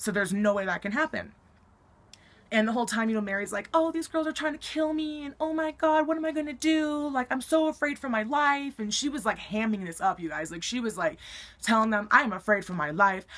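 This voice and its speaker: With an American accent, a woman speaks at a high pitch that swings very widely. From Colorado, US. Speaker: YouTuber. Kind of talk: storytelling vlog. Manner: casual, many fillers. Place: home room. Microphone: webcam.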